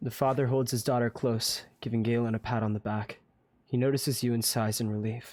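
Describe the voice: The delivery is plain reading aloud. Its intonation is fairly even.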